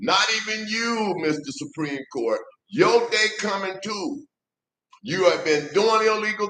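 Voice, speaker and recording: A man's raised, projected voice, high in pitch, with lively intonation and a very slow pace. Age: 60s. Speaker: political commentator. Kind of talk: political monologue. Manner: impassioned.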